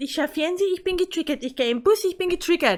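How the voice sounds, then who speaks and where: A woman with a Bavarian accent speaks at an extremely high pitch in a raised, projected voice. Her tone is bright and sharp, and her intonation is lively. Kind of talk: opinion rant vlog to camera.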